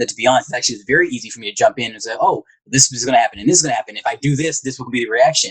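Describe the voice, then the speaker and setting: A man talks at a very fast pace with an American accent and a fairly high, somewhat breathy voice. The sound is dry and close, with no echo. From US South, rural Alabama. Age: 20s. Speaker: psychologist, navy veteran. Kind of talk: interview. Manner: monotone.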